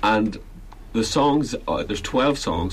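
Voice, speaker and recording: A man with a Belfast accent and ordinary pitch variation, with noticeable background noise and audible room echo. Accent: Belfast Northern Irish. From Northern Ireland, Belfast. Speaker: folk musician. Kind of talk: casual radio interview. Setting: radio studio.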